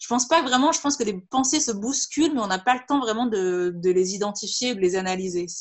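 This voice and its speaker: A woman's fairly high voice, quick-paced and lively in intonation, with hardly any pauses. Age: 30s. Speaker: illustrator and mother. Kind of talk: interview. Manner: halting, many fillers.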